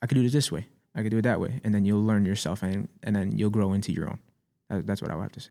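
Delivered at a very fast pace with ordinary pitch variation, the voice has a dark, mellow tone and an American accent. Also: man, fairly low pitch for a man. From US Northeast, Staten Island, New York. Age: 20s. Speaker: rapper and music producer. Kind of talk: casual chat. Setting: studio.

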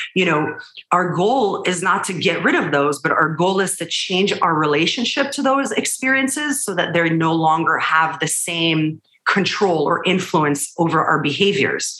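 With lively intonation and a fairly low pitch, a woman talks at a moderate pace while noticeable background noise runs underneath. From Israel. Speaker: psychologist.

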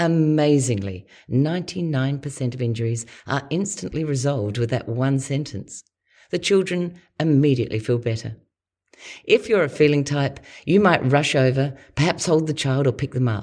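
A woman speaks with an Australian accent in a very deep, low voice. Her intonation is lively and her pace moderate. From Australia, Adelaide. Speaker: podcast host and personality coach. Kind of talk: scripted narration.

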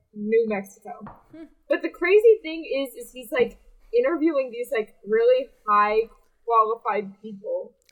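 With lively intonation and big swings in loudness, a woman with a high pitch speaks at a moderate pace. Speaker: podcast co-host. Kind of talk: casual chat. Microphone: poor audio this episode.

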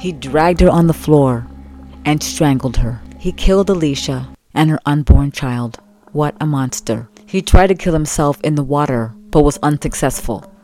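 With music in the background, a woman speaks in a very deep, low voice. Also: ordinary pitch variation, moderate pace. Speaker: true crime podcaster. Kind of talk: true-crime narration, scripted storytelling. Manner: conversational, empathetic, chatty storyteller; animated, casual asides.

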